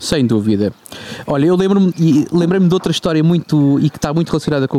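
A man with a European Portuguese accent at a very fast pace, ordinary pitch variation, dry, close sound with no echo and noticeable background noise. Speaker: podcast co-host. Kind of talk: casual chat.

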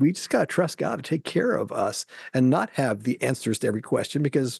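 A man's voice, dry and close with no echo. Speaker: podcast co-host. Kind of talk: casual Bible study discussion.

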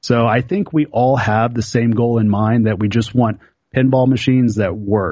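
With an American accent, a man has an unremarkable speaking voice, medium pitch and a moderate pace. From Oklahoma. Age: 30s. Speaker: pinball player and YouTuber. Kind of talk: casual chat.

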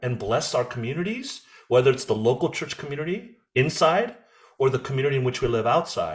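A man speaks with a General American accent in a fairly high, somewhat breathy voice. His pitch swings very widely. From USA (Korean American). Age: 50s. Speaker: president of an evangelical ministry organization. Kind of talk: interview conversation.

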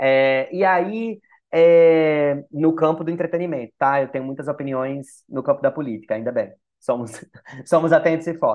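In a normal speaking voice, a man talks at a moderate pace, his pitch fairly high and its variation ordinary. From Natal, Brazil. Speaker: screenwriter and creator. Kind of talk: casual interview chat. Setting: studio.

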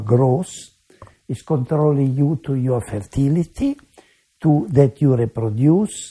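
A man talks at a very slow pace with a fairly high pitch. His voice is somewhat breathy with a dark, mellow tone. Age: 80s+. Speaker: medical researcher. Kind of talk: interview. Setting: his home.

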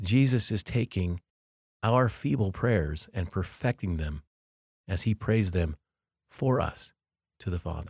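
A man with a fairly low pitch speaks in a somewhat breathy way at a fairly slow pace, with lively intonation and long, frequent pauses. The sound is dry and close with no echo, on a very clean recording with a silent background. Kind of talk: guided meditation.

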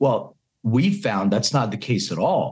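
With very wide pitch swings around a medium pitch, a man talks at a moderate pace in a somewhat breathy voice. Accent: American. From Philadelphia, US. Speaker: cannabis health company CEO. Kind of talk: interview.

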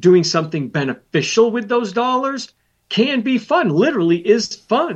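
With very wide pitch swings, a man is talking. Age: 60s. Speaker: financial planner and radio host. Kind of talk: educational talk show. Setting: studio.

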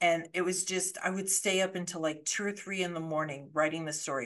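Against a quiet background, a woman with an American accent uses an unremarkable speaking voice, fairly low in pitch, at a moderate pace. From Colorado, US. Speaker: thriller author, former lawyer. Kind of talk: casual interview.

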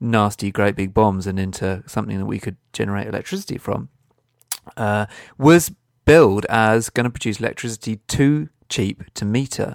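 Recorded very cleanly against a silent background with a dry, close sound and no echo, a man with a British accent and a fairly low voice talks at a moderate pace with ordinary pitch variation. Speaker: environmental podcast co-host. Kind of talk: casual chat.

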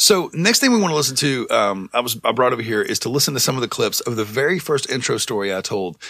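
Noticeable background noise runs behind a man speaking. He goes at a very fast pace with hardly any pauses. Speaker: podcast host. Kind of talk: casual banter. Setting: studio. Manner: animated.

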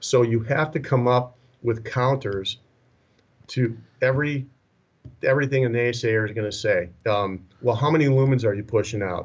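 Speaking in an American accent at a moderate pace, a man with a medium pitch and ordinary pitch variation sounds somewhat breathy and leaves long, frequent pauses against a quiet background. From Minnesota. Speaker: retired police sergeant, laser company representative. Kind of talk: podcast interview.

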